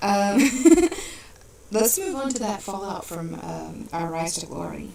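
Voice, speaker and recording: A soft-spoken woman talks at a very slow pace, her loudness swinging widely, with audible room echo and noticeable background noise. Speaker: podcast host and wrestling roleplayer. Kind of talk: casual chat. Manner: quiet, soft-spoken. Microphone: mic sometimes sounds far away.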